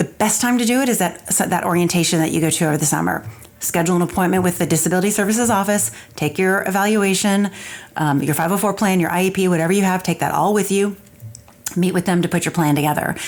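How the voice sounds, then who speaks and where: A woman talks at a very fast pace, her pitch medium and its variation ordinary. Her loudness stays very even throughout. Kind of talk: solo podcast monologue. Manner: casual, conversational.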